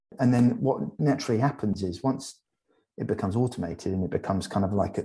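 A man speaks at a fairly quick pace with a fairly low pitch and ordinary pitch variation. His dark, mellow tone is somewhat breathy. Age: 40s. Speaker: transformation coach and hypnotherapist. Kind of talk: casual chat. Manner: calm.

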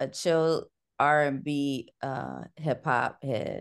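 A woman's very deep, low voice with an American accent and fairly even intonation. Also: quiet background. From US Midwest, Cleveland, Ohio. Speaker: librarian and educator. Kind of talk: interview.

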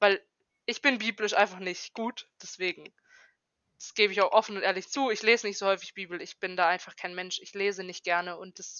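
A woman's ordinary speaking voice at medium pitch, with fairly even intonation. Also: big swings in loudness. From Germany, Karlsruhe (Baden). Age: 20s. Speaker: trainee educator. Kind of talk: casual chat. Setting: remote call from home.

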